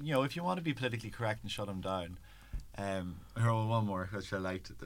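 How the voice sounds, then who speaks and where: A man with a Donegal Irish accent, fairly low pitch, lively intonation, a very fast pace and long, frequent pauses. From Ireland, Donegal. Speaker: LGBT rights campaigner. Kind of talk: interview.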